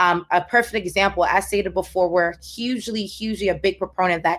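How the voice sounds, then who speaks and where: In a very clean recording with a silent background, a woman with an American accent and a normal speaking voice talks at a fairly quick pace, with medium pitch and fairly even intonation. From Haiti, Port-au-Prince. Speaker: tech entrepreneur, panelist. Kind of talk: panel discussion.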